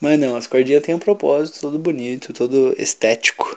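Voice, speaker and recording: A man speaks at a fairly quick pace in a normal speaking voice, with ordinary pitch variation. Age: 20s. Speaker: podcast co-host. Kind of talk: casual chat. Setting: at home alone.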